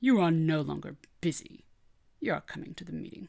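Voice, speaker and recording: Growling in a fairly high pitch, a man speaks at a fairly quick pace. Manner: commanding, growling.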